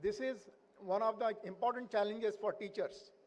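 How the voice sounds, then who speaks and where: In a Marathi accent, a man talks at a high pitch. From India. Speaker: invited speaker, education professor. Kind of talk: speech at school annual day. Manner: halting, many fillers.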